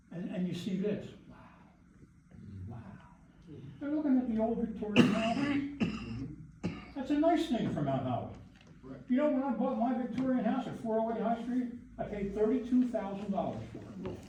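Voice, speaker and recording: A man with an extremely high voice talks at a moderate pace with lively intonation, big swings in loudness and long, frequent pauses, over noticeable background noise and audible room echo. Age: 70s. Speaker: public commenter at council meeting, retired teacher. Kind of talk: public comment at town council meeting. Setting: council meeting room. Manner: animated.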